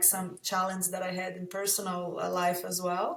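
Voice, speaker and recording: This woman speaks at a mid-range pitch, neither rushing nor dragging. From Brazil. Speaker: company founder. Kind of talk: podcast interview.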